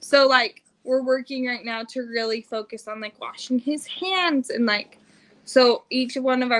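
A woman with a General American accent and a high pitch speaks at a fairly slow pace with fairly even intonation. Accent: general American (Western US). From Utah. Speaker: family vlogger, mother. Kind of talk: casual livestream chat. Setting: home livestream.

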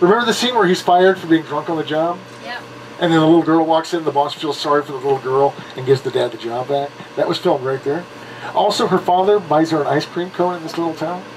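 Over light background noise, a man talks at a very fast pace with ordinary pitch variation. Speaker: studio tour guide. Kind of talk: tour guide commentary. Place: bus.

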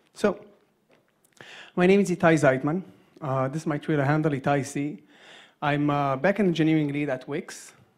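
A man at a fairly quick pace with ordinary pitch variation and a quiet background. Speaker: conference speaker. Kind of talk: lecture. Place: hall. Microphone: handheld.

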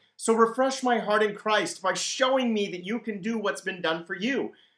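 Speaking at a fairly quick pace with a high pitch and ordinary pitch variation, a man is heard with audible room echo over a quiet background. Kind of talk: devotional teaching talk. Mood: warm and earnest.

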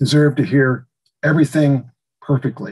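Over a quiet background, a man speaks at a fairly quick pace in a somewhat breathy, fairly high voice with fairly even intonation. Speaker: radio host. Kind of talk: tutorial. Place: home room. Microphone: video call.

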